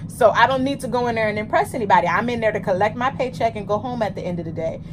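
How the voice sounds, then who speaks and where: Noticeable background noise beneath speech with ordinary pitch variation. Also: woman. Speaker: podcast co-host. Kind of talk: casual chat. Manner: loud.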